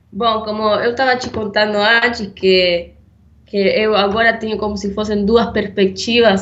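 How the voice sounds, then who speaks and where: A woman with a non-native accent is heard with noticeable background noise and audible room echo. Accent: foreign accent in Portuguese. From Argentina. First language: Spanish (speaking Portuguese). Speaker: podcast co-host. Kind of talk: casual conversation. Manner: hesitant.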